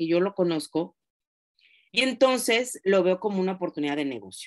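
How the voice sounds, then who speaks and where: Over a quiet background, the speaker moves at a fairly quick pace with very wide pitch swings. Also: woman. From Mexico, Oaxaca. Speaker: direct sales consultant. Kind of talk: training class. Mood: warm, encouraging. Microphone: video call.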